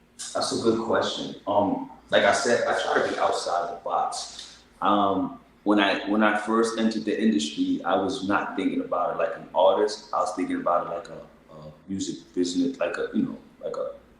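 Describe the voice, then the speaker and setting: A man speaks with big swings in loudness. Noticeable background noise is present. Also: moderate pace. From New York City (Bronx). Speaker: singer-songwriter. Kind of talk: interview.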